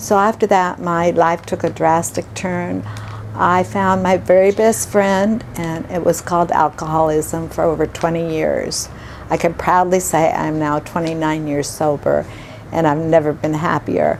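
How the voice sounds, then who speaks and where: A woman talks at a fairly slow pace with a fairly low pitch and ordinary pitch variation. Noticeable background noise sits behind her. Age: 70s. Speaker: retirement home resident. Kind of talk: personal testimony. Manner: halting, many fillers.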